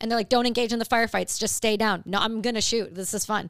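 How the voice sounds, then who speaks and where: The tone is animated, in a Canadian accent. The recording is very clean, with a silent background. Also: woman. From Ontario, Canada. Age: 30s. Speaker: combat veteran. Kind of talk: casual chat.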